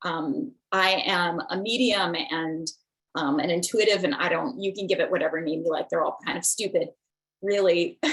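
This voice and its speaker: Lively intonation marks a woman's delivery at medium pitch. She has a normal speaking voice and keeps a moderate pace. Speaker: spiritual teacher and medium. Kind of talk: online class.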